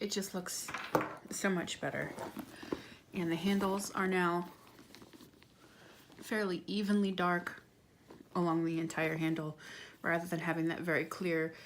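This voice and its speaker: A soft-spoken woman talks at a fairly slow pace with a fairly low pitch and very even loudness. Her intonation is monotone and flat, broken by long, frequent pauses. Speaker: handbag restorer. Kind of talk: ASMR tutorial talk to camera.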